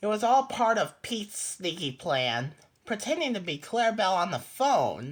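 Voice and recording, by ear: Someone reads aloud here in a natural voice.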